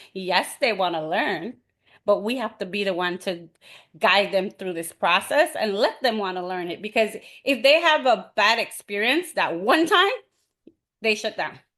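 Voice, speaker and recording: A loud woman with a bright, sharp tone, lively intonation and a moderate pace. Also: medium pitch for a woman, quiet background. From Belize. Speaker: webinar presenter, teacher. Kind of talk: webinar presentation. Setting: video call webinar. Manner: animated.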